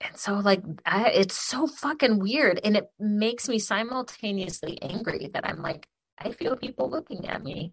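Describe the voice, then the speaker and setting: Her American accent comes through at a fairly slow pace, somewhat breathy. This woman's medium-pitched voice makes very wide pitch swings. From Michigan, Ypsilanti/Ann Arbor area. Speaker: podcast co-host. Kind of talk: casual chat. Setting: remote call across continents. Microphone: occasional crackly audio.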